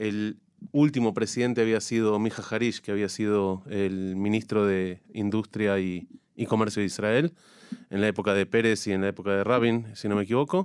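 A man with a plain, everyday voice, fairly low in pitch, at a moderate pace with fairly even intonation. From Argentina, La Plata. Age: 40s. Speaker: chamber of commerce president. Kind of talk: radio interview.

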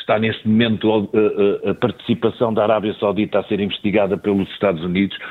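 A normal speaking voice comes through at a fairly quick pace. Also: man. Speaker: newspaper editor and commentator. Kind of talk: radio panel discussion.

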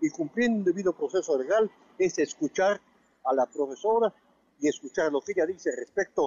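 A man's lively intonation carries his words at a moderate pace. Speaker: law professor. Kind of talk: interview. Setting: phone call. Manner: formal.

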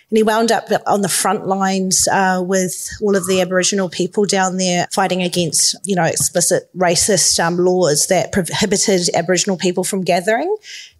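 A woman speaks at a fairly quick pace with a New Zealand accent, her pitch medium and her intonation flat and monotone. Her loudness stays very even over noticeable background noise. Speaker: filmmaker. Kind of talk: panel discussion. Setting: stage with audience.

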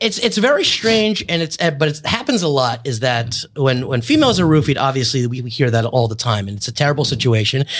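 Using an unremarkable speaking voice at medium pitch, a man with an American accent talks at a fairly quick pace with lively intonation and hardly any pauses. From US Northeast. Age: 30s. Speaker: podcast host, comedian. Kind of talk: casual chat. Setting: studio.

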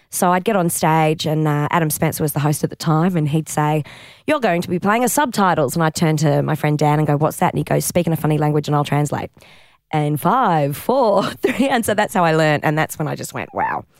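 With an Australian accent, a woman speaks at a fairly quick pace in a very deep, low pitch with ordinary variation. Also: very clean recording, silent background. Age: 40s. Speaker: comedian and improviser. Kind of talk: casual interview chat.

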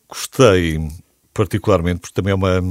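Recorded with a dry, close sound and no echo, a man speaks at a very deep, low pitch. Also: very clean recording, silent background. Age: 50s. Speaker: radio host. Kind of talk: interview.

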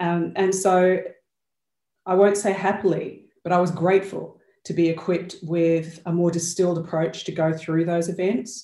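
Audible room echo surrounds a woman with an Australian accent speaking at a moderate pace. Her fairly low pitch carries a dark, mellow tone with monotone, flat intonation. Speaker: change and accountability coach. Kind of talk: interview conversation. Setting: video call.

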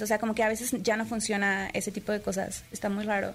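A woman speaks in a Monterrey accent. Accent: Monterrey-tinged Mexican. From Puebla, Mexico. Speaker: streamer. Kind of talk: interview.

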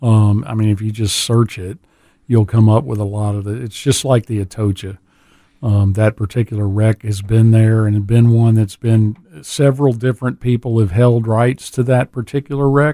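Recorded very cleanly with a silent background and a dry, close sound with no echo, a man speaks at a moderate pace in a dark, mellow tone. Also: medium pitch for a man, fairly even intonation. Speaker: dive shop owner. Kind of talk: casual radio interview.

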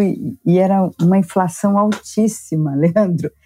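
A woman with a fairly low pitch and a dark, mellow tone talks at a fairly slow pace with ordinary pitch variation, the sound dry and close with no echo. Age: 60s. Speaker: publishing executive. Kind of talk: casual interview. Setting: video call.

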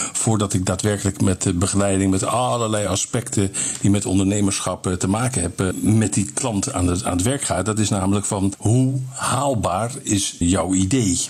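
Against noticeable background noise, a man with a fairly low pitch talks at a moderate pace with very even loudness, ordinary pitch variation and hardly any pauses. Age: 60s. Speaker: business coach. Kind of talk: interview.

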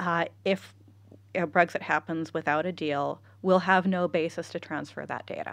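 A woman with an American accent, fairly low in pitch, monotone and flat, at a moderate pace against a quiet background. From California, US. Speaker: data privacy expert. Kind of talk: casual interview chat. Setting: studio.

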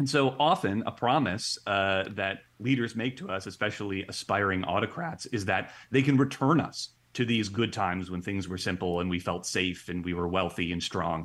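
An unremarkable speaking voice from a man with an American accent, fairly low in pitch with ordinary pitch variation, at a moderate pace with hardly any pauses, on a very clean recording with a silent background. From Ohio, US Midwest. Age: 30s. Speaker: experimental psychologist. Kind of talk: interview.

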